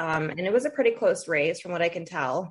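A woman talks at a fairly quick pace in an American accent. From Toledo, Ohio, US Midwest. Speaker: podcast host. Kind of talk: interview.

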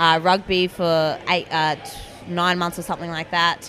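A woman's fairly low voice in an Australian accent with monotone, flat intonation over noticeable background noise. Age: 20s. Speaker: teacher and fitness blogger. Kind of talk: interview.

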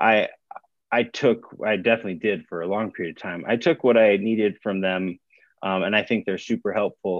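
A man with a plain, everyday voice talks at a fairly quick pace and fairly low pitch with fairly even intonation. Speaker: singer in a rock band. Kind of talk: casual interview chat.

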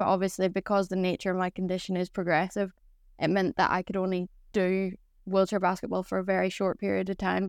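A woman with a Northern Irish accent at medium pitch, very fast and in a monotone, flat intonation, on a very clean recording with a silent background and a dry, close sound with no echo. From Northern Ireland. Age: 20s. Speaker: Paralympic boccia athlete. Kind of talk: casual interview chat.

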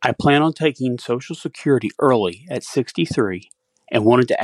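Over a quiet background, a man with a plain, everyday voice talks at a moderate pace in a medium pitch with lively intonation, the sound dry and close with no echo. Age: 60s. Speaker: listener with a recorded question. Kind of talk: recorded voicemail question.

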